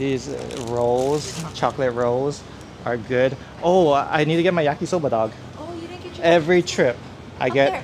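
A man speaks with ordinary pitch variation and long, frequent pauses. Noticeable background noise runs underneath. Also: moderate pace. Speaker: travel vlogger. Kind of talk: casual vlog chat. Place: shop.

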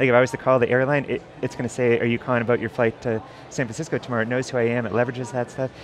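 A man talks at a very fast pace over music in the background. His delivery is monotone and flat, and the sound is dry with no echo. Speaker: tech company AI lead. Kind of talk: interview. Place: hall.

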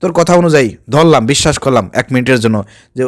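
The recording is very clean and the background silent. A man's intonation is lively. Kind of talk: commentary video. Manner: animated.

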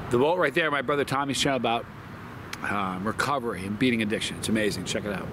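A man talks at a very fast pace with ordinary pitch variation, his dry sound carrying no echo over noticeable background noise. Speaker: hot sauce reviewer. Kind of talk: casual review vlog chat. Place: garden.

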